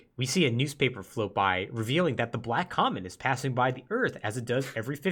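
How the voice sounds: The reader uses a natural reading voice and lively intonation.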